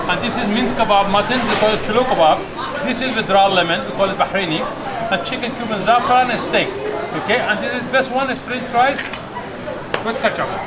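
Fairly quick speech against crowd noise in the background. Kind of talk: casual chat with customers. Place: cafe.

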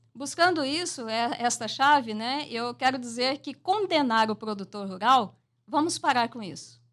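Speaking at a fairly slow pace, a woman uses high pitch and lively intonation. Her loudness swings widely against a quiet background. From Mato Grosso do Sul, Brazil. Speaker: environmental researcher; radio interviewee. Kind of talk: radio interview. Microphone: studio mic.

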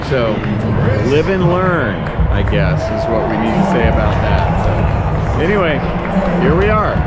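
Fairly slow speech over music in the background. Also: man. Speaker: travel vlogger. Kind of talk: casual vlog chat. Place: stadium. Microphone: phone near.

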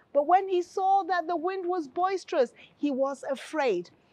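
The delivery is fairly slow, and the sound is dry with no echo. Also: woman. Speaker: pastor presenting a health. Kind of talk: sermon. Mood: calm, earnest teaching. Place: studio. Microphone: lapel.

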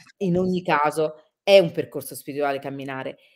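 Her pitch varies in an ordinary way as this woman talks at a moderate pace. No noise intrudes from the background. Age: 40s. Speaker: travel reporter and radio-TV presenter; travel reporter, radio TV presenter. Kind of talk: interview. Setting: live video stream. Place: home room.

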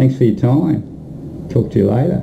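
Lively intonation marks this voice with an Australian accent, heard over light background noise. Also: man. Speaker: music promoter. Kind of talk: promotional video message. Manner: animated. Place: home room. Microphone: webcam.

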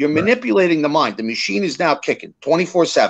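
The tone of this man's voice is animated. The background is quiet. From New Jersey, Fort Lee; New Jersey. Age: 50s. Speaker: small business consultant and podcast host; podcast host. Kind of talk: casual political interview; interview answer. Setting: live video stream. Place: home room. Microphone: webcam.

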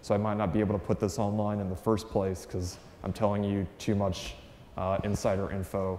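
A man with a fairly low pitch speaks at a moderate pace. There is music in the background and audible room echo. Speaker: conference presenter. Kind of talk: lecture. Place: meeting room.

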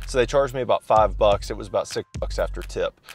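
A man talks at a fairly quick pace. The sound is dry with no echo, with faint music in the background. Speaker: coffee shop reviewer. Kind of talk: casual vlog review. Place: car. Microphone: phone near.

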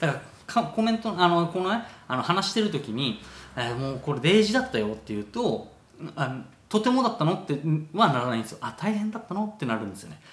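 A man talks at a very fast pace with a high pitch and very wide pitch swings. His loudness swings a lot, and there is audible room echo. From Okinawa, Japan. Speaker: travel vlogger. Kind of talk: casual talk to camera. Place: home room. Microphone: phone near.

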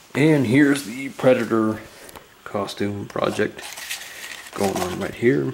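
Noticeable background noise runs under this recording. A man speaks with ordinary pitch variation. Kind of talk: casual vlog chat. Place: home room. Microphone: phone near.

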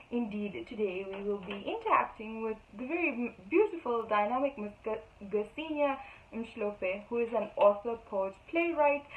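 A woman speaks at a fairly slow pace in a fairly high pitch. Her intonation is lively, with big swings in loudness. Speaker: event presenter. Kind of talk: formal introduction. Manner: formal. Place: home room. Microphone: phone near.

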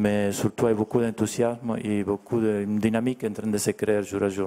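With a Spanish accent, a man speaks at a fairly slow pace, his fairly low voice in monotone, flat intonation. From Argentina. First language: Spanish (speaking French). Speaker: artist; guest. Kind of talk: interview. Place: hall. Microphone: handheld.

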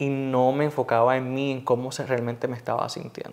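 A man with a plain, everyday voice, fairly high in pitch, at a moderate pace. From Puerto Rico, Cidra mountain town. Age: 20s. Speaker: TV news reporter. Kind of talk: interview.

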